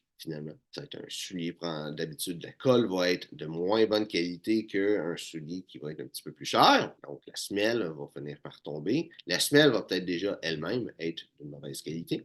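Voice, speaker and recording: Speech at a moderate pace runs on with hardly any pauses and big swings in loudness. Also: man, very deep, low pitch for a man, ordinary pitch variation. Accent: Quebec. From Quebec. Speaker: menswear style YouTuber. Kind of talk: tutorial. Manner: hesitant with many fillers.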